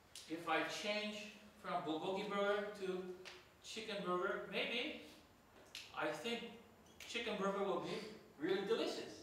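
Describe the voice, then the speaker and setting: A man's raised, projected voice in strong room echo, with light background noise. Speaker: teacher. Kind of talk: lecture. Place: classroom. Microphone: camera far.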